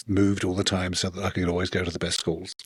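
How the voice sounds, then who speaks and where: A man speaks with a British accent. The sound is dry and close, with no echo. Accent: British, noticeable. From England. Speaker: author, former software engineer. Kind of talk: podcast interview.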